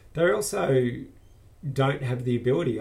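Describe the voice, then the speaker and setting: The speaker has an Australian accent and talks at a moderate pace. Audible room echo surrounds the voice. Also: man. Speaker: business owner with multiple sclerosis. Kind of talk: personal video blog monologue. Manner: halting, many fillers.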